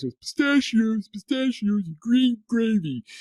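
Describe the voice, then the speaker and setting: At a moderate pace, a put-on character voice sits at a fairly high pitch. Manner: dopey, silly.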